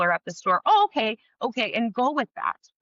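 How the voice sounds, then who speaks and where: Loud and high-pitched, a woman talks with very wide pitch swings. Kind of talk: interview. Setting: podcast. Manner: fast.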